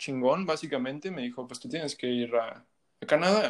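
A man with an unremarkable speaking voice talks at a fairly high pitch. His pace is moderate, with ordinary pitch variation. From Mexico. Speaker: musician. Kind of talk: casual chat.

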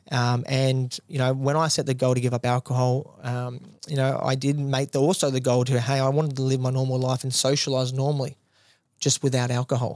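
Speaking with an Australian accent, a man keeps a fairly quick pace. His intonation is flat and monotone, and his loudness stays very even. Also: medium pitch for a man. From rural New South Wales, Australia. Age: 20s. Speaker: gym owner. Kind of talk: casual interview. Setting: studio.

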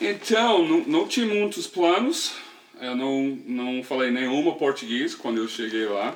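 A man talks at a fairly slow pace with a fairly high pitch and very wide pitch swings. Noticeable background noise is present. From US South, small-town Tennessee. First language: English (speaking Portuguese). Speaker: podcast co-host. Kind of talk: casual chat. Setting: at home. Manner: halting.

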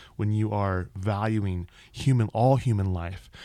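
The recording is very clean, with a silent background. A man speaks at a fairly low pitch with a dark, mellow tone and fairly even intonation. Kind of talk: casual discussion. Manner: stutter.

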